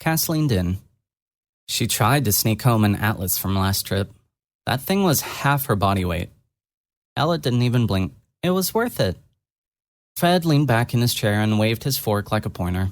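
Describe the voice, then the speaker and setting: In a very clean recording with a silent background, a man at a medium pitch and moderate pace makes very wide pitch swings and takes long, frequent pauses. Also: very even loudness. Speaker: audio drama narrator. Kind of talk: read story narration. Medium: read story.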